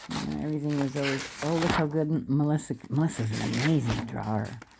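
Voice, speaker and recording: A woman with a very deep, low pitch speaks at a moderate pace with lively intonation. There is noticeable background noise. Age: 60s. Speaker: vlogger. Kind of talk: casual monologue. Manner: halting.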